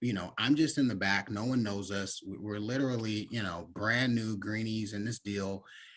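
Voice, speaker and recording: With an American accent, a man speaks at a moderate pace in a fairly low pitch, with a bright, sharp tone and ordinary pitch variation. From US West Coast (Bay Area, California). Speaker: insurance agency executive, former school principal. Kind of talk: podcast interview.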